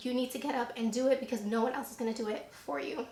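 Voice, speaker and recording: Amid noticeable background noise and audible room echo, a woman with a high pitch speaks fairly quickly in an animated tone. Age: 20s. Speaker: beauty YouTuber. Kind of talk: casual Q&A vlog.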